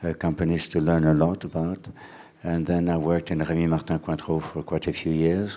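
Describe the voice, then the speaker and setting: In a very clean recording with a silent background, a man with a French accent speaks at a very deep, low pitch in a dark, mellow tone with monotone, flat intonation. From France (Cognac region). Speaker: president of a culinary school. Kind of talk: interview. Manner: halting, many fillers.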